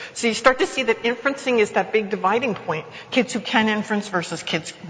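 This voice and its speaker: Noticeable background noise accompanies a woman who talks at a fairly quick pace. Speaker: education professor. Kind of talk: conference lecture. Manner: fast.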